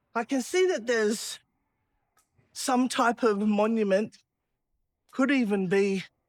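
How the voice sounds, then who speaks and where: With an Australian accent, the speaker goes at a fairly slow pace with long, frequent pauses, ordinary pitch variation and very even loudness on a very clean recording with a silent background. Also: woman, fairly high pitch for a woman. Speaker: travel vlogger. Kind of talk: casual vlog walk-and-talk. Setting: outdoors.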